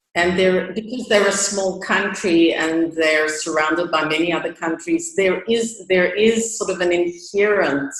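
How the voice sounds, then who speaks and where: A woman's fairly low voice over music in the background, fairly slow in pace with hardly any pauses and ordinary pitch variation. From South Africa. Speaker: chamber of commerce managing director. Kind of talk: interview.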